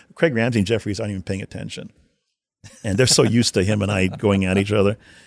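With a Canadian accent, a man speaks at a very fast pace and a fairly low pitch, his intonation fairly even. The recording is very clean and dry, close-miked with no echo and a silent background. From Winnipeg, Canada. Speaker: hockey video coach. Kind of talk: interview storytelling.

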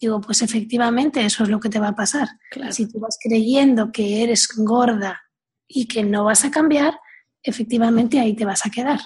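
A woman at a fairly high pitch with fairly even intonation and a moderate pace. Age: 40s. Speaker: weight coach. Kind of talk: interview conversation. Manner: hesitant, repeats words.

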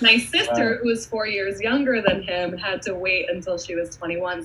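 A woman talks in an American accent with lively intonation as noticeable background noise carries on behind her. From New York, Hudson Valley. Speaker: spirits brand ambassador. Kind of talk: casual chat.

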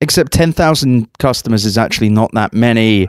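In a dry, close sound with no echo and a very clean recording with a silent background, a man with an ordinary speaking voice talks at medium pitch and a moderate pace with ordinary pitch variation. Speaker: tech journalist and podcast host. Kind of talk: casual chat. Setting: convention in Las Vegas.

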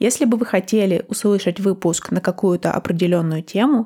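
This woman's voice has a dark, mellow tone at a medium pitch with ordinary pitch variation, recorded very cleanly against a silent background with a dry, close sound and no echo. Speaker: language-learning podcast host. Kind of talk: scripted podcast trailer. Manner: clear, deliberate pace for learners.

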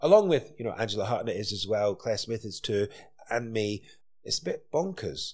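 In a Scottish accent, a man at medium pitch talks at a moderate pace with lively intonation on a very clean recording with a silent background. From Scotland. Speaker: chef and restaurateur. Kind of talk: casual interview chat. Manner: animated, passionate.

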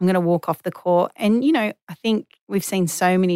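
A woman with an Australian accent talks at a moderate pace in a fairly low pitch with fairly even intonation. The recording is very clean with a silent background and a dry, close sound with no echo. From Western Australia, Perth. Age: 30s. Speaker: former professional tennis player. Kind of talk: interview.

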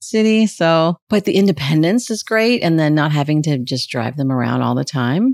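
A woman with a very deep, low pitch and an American accent, animated in tone, at a moderate pace, with very wide pitch swings and a dry, close sound with no echo. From Southern California. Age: 50s. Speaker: voiceover actor and playwright. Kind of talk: casual chat. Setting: studio.

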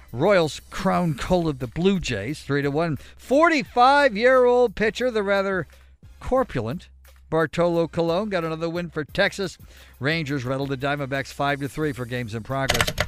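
Music plays behind a man whose fairly high pitch swings very widely as he talks at a moderate pace. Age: 30s. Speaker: sports news update anchor. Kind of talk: news reading.

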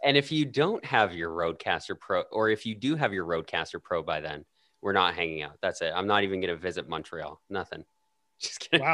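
A bright, sharp tone with very wide pitch swings, a fairly quick pace, and a dry, close sound with no echo. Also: man, fairly low pitch for a man. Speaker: podcaster, podcast guest. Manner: casual, joking.

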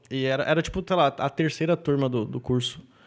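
A man is talking with a fairly high pitch. His pitch varies in an ordinary way. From southern Brazil, Rio Grande do Sul. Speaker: stand-up comedian. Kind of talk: casual interview chat.

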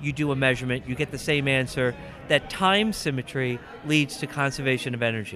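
There is noticeable background noise behind a man with a fairly high pitch. He talks at a fairly quick pace. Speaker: physics professor and convention guest of honor. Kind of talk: interview.

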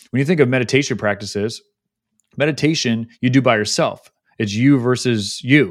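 Recorded very cleanly over a silent background, a man with a medium pitch uses an ordinary speaking voice, with ordinary pitch variation at a moderate pace. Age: 30s. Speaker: podcast host appearing as guest. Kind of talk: casual interview chat.

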